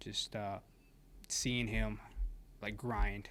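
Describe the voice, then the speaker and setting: This man speaks with an American accent. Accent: Americanized, more than his brother's. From Mexico. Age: 20s. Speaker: podcast guest. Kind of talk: casual chat.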